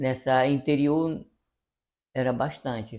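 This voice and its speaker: A man speaks at a very slow pace. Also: quiet background. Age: 60s. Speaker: musician and sound system owner. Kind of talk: interview, personal reminiscence.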